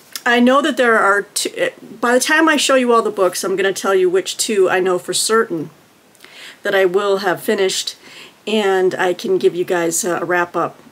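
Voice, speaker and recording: The speaker is a woman talking at a moderate pace. Her pitch varies in an ordinary way. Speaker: book vlogger. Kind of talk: casual vlog chat. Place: home room.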